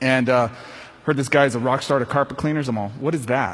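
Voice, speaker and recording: A man with a medium pitch talks at a very fast pace over noticeable background noise. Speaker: sales trainer. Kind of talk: conference talk. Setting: stage with audience. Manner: animated.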